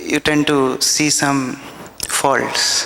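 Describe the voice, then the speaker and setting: A man's fairly high, monotone, flat voice with an Indian accent, at a very slow pace over noticeable background noise. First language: Hindi. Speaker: devotee speaker at memorial festival. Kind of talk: devotional testimony. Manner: halting.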